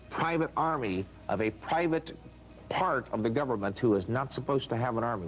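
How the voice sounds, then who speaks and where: A man speaks at a fairly quick pace and medium pitch. Music plays in the background. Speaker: book author being interviewed. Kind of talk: interview answer, book promotion.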